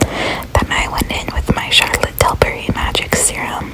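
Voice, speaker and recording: A woman whispers at a fairly slow pace. Noticeable background noise is present. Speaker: ASMR creator. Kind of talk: ASMR makeup voiceover. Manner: whispered.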